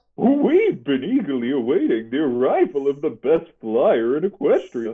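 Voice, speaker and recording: This man talks at a moderate pace in a fairly high pitch. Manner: sly, flattering.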